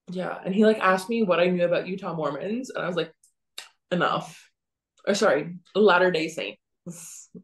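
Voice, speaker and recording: Somewhat breathy, a woman speaks in a Canadian accent with fairly even intonation. Her speech has long, frequent pauses. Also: medium pitch for a woman, moderate pace. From Canada. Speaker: podcast co-host. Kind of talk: casual chat.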